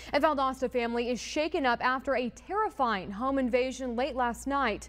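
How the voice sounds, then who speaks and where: A woman with a high pitch speaks at a fairly quick pace. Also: ordinary pitch variation. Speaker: TV news anchor and reporter. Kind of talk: local TV news reporting. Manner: live field reporting, conversational.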